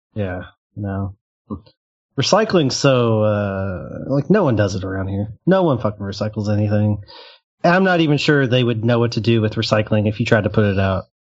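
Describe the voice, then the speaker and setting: A man with a fairly low pitch talks in a normal speaking voice at a moderate pace, with ordinary pitch variation. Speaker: banking industry worker. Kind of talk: casual chat.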